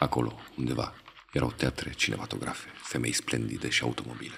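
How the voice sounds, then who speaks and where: Noticeable background noise behind a man talking at a moderate tempo. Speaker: poetry reader. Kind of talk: poem reading, audio poetry.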